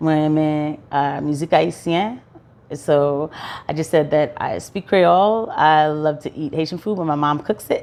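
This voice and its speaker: A woman speaks fairly slowly in a very deep, low pitch with ordinary pitch variation. The background is quiet. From US Northeast (Brooklyn, Florida, Philadelphia). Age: 30s. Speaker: vlogger, registered nurse. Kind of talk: casual vlog monologue.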